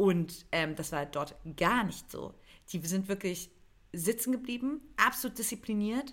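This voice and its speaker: Against a silent background in a very clean recording, a woman speaks fairly slowly at a medium pitch with lively intonation. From eastern Germany. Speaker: comedy writer and podcast co-host. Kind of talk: casual chat.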